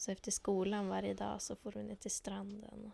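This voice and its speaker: A woman is speaking at a moderate pace. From northern Sweden, Lycksele. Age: 20s. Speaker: student teacher. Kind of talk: interview.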